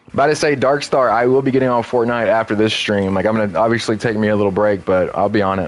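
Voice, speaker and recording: Over noticeable background noise, a man with an American accent talks at a very fast pace, medium in pitch with ordinary pitch variation, his loudness very even and hardly any pauses. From Texas. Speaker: gaming streamer, military veteran. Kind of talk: casual live-stream gaming commentary. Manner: casual, halting with fillers.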